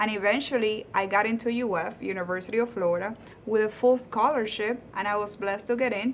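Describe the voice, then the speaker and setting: A woman's fairly high voice at a very fast pace, with fairly even intonation and noticeable background noise. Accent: Spanish. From Cuba. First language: Spanish. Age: 30s. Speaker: lawyer. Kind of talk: interview.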